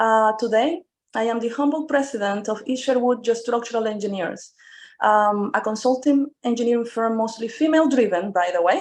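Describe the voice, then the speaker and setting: A woman with a Spanish accent speaks at a moderate pace over a quiet background. Her voice sits fairly high and shows ordinary pitch variation. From Venezuela. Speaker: engineering firm president. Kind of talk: panel talk.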